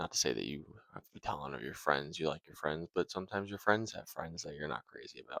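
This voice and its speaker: A soft-spoken man with a very deep, low pitch, vocal fry and a bright, sharp tone talks at a very fast pace, with lively intonation and big swings in loudness. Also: dry, close sound with no echo. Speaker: video creator. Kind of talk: casual philosophy vlog. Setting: at home.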